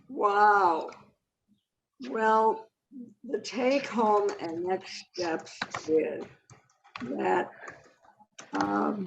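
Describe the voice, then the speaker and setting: With music playing in the background, a woman with an American accent talks at a very slow pace, with long, frequent pauses. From US Midwest, Detroit. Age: 80s+. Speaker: climate activist. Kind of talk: personal testimony. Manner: halting.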